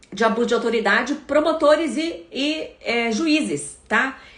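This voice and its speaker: Through noticeable background noise, a woman speaks at a high pitch with lively intonation. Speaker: prosecutor and anti-corruption campaigner. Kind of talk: live stream Q&A. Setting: live stream. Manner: hesitant fillers.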